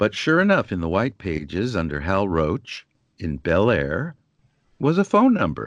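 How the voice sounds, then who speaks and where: Recorded against a quiet background, a man with a General American accent speaks at a fairly slow pace, his very deep, low voice carrying vocal fry and lively intonation. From Southern California, San Diego. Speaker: actor and film historian. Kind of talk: interview. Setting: Skype call. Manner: playful.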